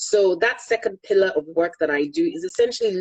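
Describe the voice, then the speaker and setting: A woman speaks with a Yoruba accent. Her pace is fairly quick. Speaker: energy consultant and finance executive. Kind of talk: interview.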